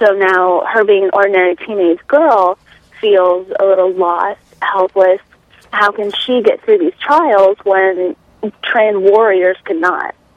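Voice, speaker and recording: Using an ordinary speaking voice, a woman talks at a medium pitch and a fairly slow pace with ordinary pitch variation. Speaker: fantasy author. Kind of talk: interview.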